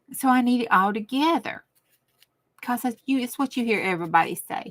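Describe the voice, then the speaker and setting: Speaking in a Southern US accent, a woman talks at a moderate pace in a bright, sharp tone. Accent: Southern US rural. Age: old. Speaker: crafting livestreamer. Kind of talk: casual live stream chat. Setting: craft room livestream. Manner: rambling, animated.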